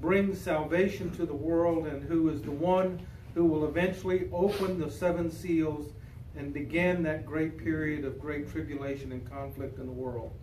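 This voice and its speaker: Amid light background noise and audible room echo, a man speaks at a fairly slow pace. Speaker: pastor leading a Bible study. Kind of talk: prayer, then informal teaching. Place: hall. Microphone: camera far.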